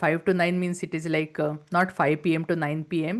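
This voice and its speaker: A woman's fairly low voice at a moderate pace. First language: not English. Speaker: entrepreneur and business coach. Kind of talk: interview.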